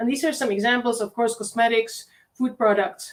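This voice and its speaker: A woman speaks at a fairly high pitch with a Czech accent. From Czech Republic. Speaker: university lecturer. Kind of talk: lecture.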